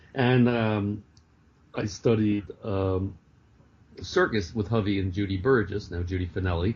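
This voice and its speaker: A somewhat breathy man's voice, fairly low in pitch, with fairly even intonation, a fairly slow pace and long, frequent pauses. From New York City, Greenwich Village. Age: 60s. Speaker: author and clown performer. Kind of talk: interview. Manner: halting, many fillers.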